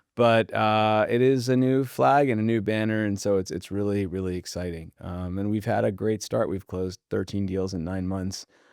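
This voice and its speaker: A man with a Californian accent and a fairly low pitch talks with hardly any pauses and ordinary pitch variation in a very clean recording with a silent background. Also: moderate pace. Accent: General American (Californian). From Southern California (Pacific Palisades). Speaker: real estate debt broker. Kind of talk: podcast interview.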